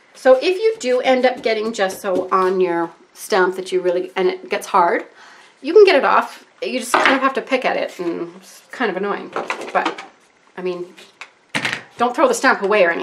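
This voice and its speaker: Over noticeable background noise, a woman's voice moves through very wide pitch swings and big swings in loudness. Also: moderate pace. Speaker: art tutorial YouTuber. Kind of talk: tutorial. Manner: rambling, scattered. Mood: enthusiastic, relaxed.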